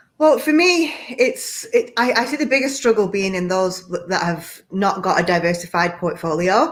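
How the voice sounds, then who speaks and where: A British accent, very wide pitch swings, hardly any pauses and a moderate pace. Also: woman, medium pitch for a woman. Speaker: executive coach. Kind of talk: panel discussion.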